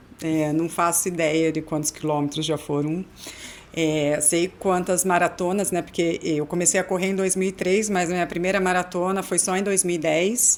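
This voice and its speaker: The voice holds a moderate pace with fairly even intonation and very even loudness, over noticeable background noise. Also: woman, fairly low pitch for a woman. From Americana, São Paulo state, Brazil. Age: 40s. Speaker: amateur marathon runner. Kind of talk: podcast interview.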